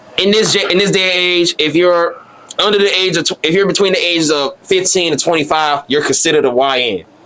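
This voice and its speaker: A man's high-pitched voice at a fairly quick pace, with ordinary pitch variation and noticeable background noise. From Chicago South Side. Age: 20s. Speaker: interviewer. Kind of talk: casual interview.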